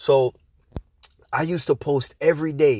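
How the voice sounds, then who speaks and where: Speaking with an American accent, a man with a fairly high pitch uses an energetic tone at a fairly slow pace on a very clean recording with a silent background. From outside the US. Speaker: podcast host, internet marketer. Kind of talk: casual solo podcast monologue. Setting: podcast. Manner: casual, slangy, energetic.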